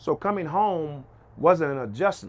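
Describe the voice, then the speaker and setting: This man has an unremarkable speaking voice with an American accent, talking at a fairly quick pace with lively intonation. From Oklahoma City. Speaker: entrepreneur and preacher. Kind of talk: interview. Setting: rooftop of his house.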